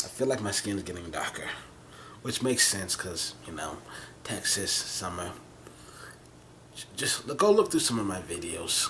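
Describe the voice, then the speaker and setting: A soft-spoken, mumbling man at a moderate pace, with big swings in loudness, long, frequent pauses and noticeable background noise. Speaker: vlogger. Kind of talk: casual monologue vlog. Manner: rambling, halting with false starts.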